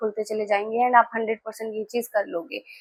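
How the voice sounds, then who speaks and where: A woman's fairly high voice stays monotone and flat in its intonation. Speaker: tarot reader. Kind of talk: tarot reading video. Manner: casual Hindi-English code-switching.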